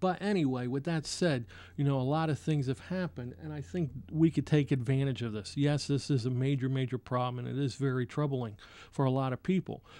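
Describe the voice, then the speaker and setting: Against a quiet background, a man with an American accent talks at a fairly quick pace in a dark, mellow tone with ordinary pitch variation. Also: medium pitch for a man. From New Jersey. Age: 40s. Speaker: political candidate hosting a talk show. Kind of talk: talk radio monologue. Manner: casual, with frequent fillers and restarts.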